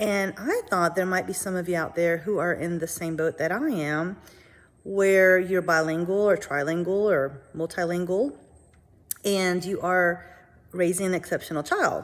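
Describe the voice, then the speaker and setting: A woman with a Spanish accent talks at a moderate pace, her fairly low voice carrying fairly even intonation. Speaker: parent vlogger. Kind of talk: casual vlog monologue.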